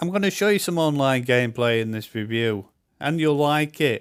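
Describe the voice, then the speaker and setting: Recorded very cleanly against a silent background, a man speaks with a Yorkshire accent. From Yorkshire, northern England. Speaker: gaming YouTuber. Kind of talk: game review. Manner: casual, chatty.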